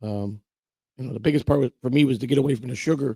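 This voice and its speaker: Very fast and somewhat breathy, the voice carries a dark, mellow tone with fairly even intonation. The sound is dry and close, with no echo. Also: man. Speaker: online show host, guest. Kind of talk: casual livestream chat. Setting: livestream. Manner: halting, repetitive fillers.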